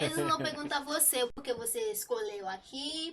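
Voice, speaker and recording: A woman speaks at a moderate pace. Her high voice makes very wide pitch swings. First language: not Portuguese (speaking Portuguese). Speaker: foreign student. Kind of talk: casual chat. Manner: halting.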